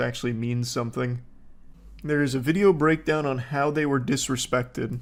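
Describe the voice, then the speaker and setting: The background is silent and the recording very clean. The voice belongs to a man. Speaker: online commentator. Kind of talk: reaction commentary. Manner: deadpan, calm.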